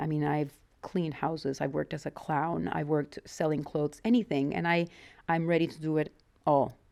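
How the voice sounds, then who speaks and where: In a Mexican accent, a woman speaks with a very deep, low pitch and a dark, mellow tone, her intonation fairly even on a very clean recording with a silent background. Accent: mild Mexican Spanish. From Mexico. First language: Spanish. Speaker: interviewee, wife of channel owner. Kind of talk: interview, personal life story.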